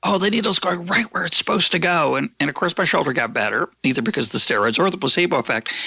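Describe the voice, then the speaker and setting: A man's bright, sharp voice carries vocal fry and very wide pitch swings. The sound is dry and close, with no echo. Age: 60s. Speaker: podcast host. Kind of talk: interview conversation. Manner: halting.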